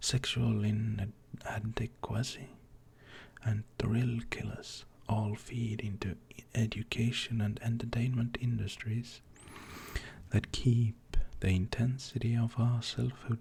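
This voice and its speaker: Very slow and soft-spoken, the speaker takes their time with each word. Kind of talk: non-fiction reading.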